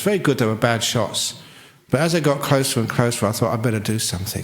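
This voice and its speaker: A man's voice with very wide pitch swings, audible room echo and noticeable background noise. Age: 60s. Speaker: Buddhist monk. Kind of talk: dharma talk.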